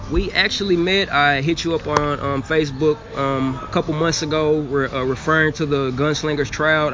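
At a moderate pace, a man with a fairly high pitch talks amid noticeable background noise. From Arkansas, Little Rock. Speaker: football tryout player. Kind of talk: interview.

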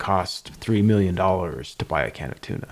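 A plain, everyday voice from a man, fairly low in pitch, fairly quick, with ordinary pitch variation. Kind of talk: casual chat.

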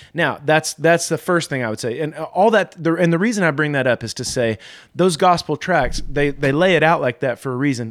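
An ordinary speaking voice moves at a fairly quick pace with ordinary pitch variation in a dry, close sound with no echo. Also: man, very clean recording, silent background. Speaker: pastor.

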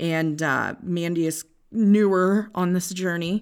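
A woman with an American accent has a normal speaking voice, a fairly low pitch and ordinary pitch variation. The recording is very clean, with a silent background. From Northwest Iowa. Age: 30s. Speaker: podcast co-host. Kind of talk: casual chat.

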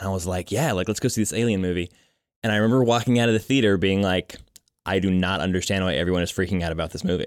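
A man delivers his words at a very fast pace in a very deep, low pitch. His pitch varies in an ordinary way in a very clean recording with a silent background. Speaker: podcast co-host. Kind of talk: casual chat.

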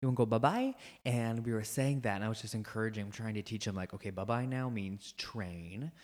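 A man with an American accent talks in a normal speaking voice at a medium pitch and fairly quick pace. His intonation stays fairly even, and the recording is very clean with a silent background. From rural United States. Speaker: podcast co-host. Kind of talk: casual chat.

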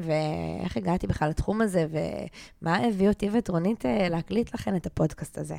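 A woman with a very deep, low pitch and a dark, mellow tone speaks at a moderate pace with lively intonation. The recording is very clean, with a silent background. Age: 30s. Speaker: life coach and podcast co-host. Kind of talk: casual chat; scripted introduction.

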